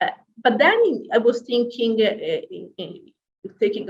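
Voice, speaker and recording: A woman speaks in a somewhat breathy voice with very wide pitch swings. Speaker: academic discussant. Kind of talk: academic panel discussion. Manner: halting, many fillers.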